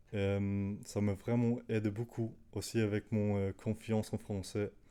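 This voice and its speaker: Very slowly, a man with a non-native accent talks in a flat monotone, his fairly low voice dark and mellow, on a very clean recording with a silent background. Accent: non-native French, makes errors. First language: Danish (speaking French). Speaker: language learner YouTuber. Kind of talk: casual talk to camera. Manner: halting, many fillers.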